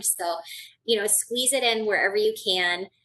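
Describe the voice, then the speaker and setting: A woman talks in an ordinary speaking voice at medium pitch and a moderate pace, with ordinary pitch variation. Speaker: health educator. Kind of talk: lecture.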